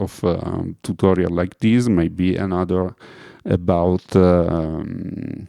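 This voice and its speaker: With an Italian accent, a man speaks very slowly in a very deep, low voice with a dark, mellow tone. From Italy. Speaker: music producer. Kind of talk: tutorial. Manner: halting, many fillers.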